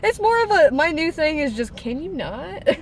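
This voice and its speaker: Very wide pitch swings from a woman, noticeable background noise underneath. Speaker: service dog handler. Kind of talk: casual chat.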